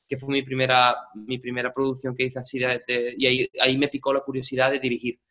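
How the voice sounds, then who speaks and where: A man talks at a very fast pace with hardly any pauses, in a medium-pitched, bright, sharp tone. His intonation stays monotone and flat. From Andalusia, Spain (Seville province). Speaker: musical director. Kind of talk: interview. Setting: home studio. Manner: halting, many repetitions and fillers.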